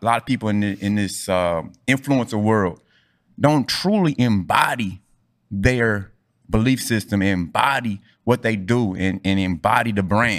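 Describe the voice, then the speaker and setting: A man with a plain, everyday voice speaks in a fairly low pitch with ordinary pitch variation. The recording is very clean and the background silent. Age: 40s. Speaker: podcast host, athletic coach. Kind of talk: casual chat.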